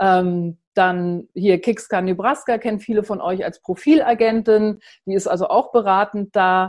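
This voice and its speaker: Against a quiet background, a woman speaks at a fairly slow pace. She has an ordinary speaking voice, a medium pitch, and ordinary pitch variation. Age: 50s. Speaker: journalist and founder of a women's platform. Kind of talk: online talk presentation.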